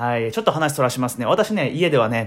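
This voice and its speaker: A man with a relaxed tone and a medium pitch. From Ehime, Shikoku. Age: 20s. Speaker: podcaster. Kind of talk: solo casual monologue. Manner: relaxed, many filler words.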